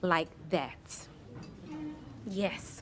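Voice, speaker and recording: A woman speaks with a strong Southern US accent. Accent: thick Southern. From Miami, Florida (Little Haiti). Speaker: author and filmmaker. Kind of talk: talk to an audience. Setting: stage with audience.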